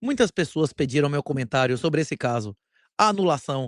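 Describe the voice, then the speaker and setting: Speaking with a Bahian accent, a man keeps a moderate pace. His fairly high voice has an animated tone. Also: very clean recording, silent background. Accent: Bahian Brazilian Portuguese. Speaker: bitcoin commentator, channel host. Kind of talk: opinion commentary monologue.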